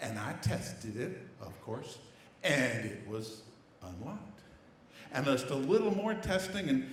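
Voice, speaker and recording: Very wide pitch swings mark this fairly slow voice with a Southern US accent, heard with audible room echo and noticeable background noise. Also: man. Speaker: storyteller. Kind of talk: live storytelling. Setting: stage with audience. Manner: animated.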